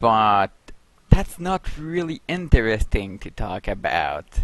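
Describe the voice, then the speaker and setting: A man with a non-native accent talks at a very slow pace. The sound is dry and close, with no echo. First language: not English. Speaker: game addon developer. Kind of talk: video update. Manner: halting.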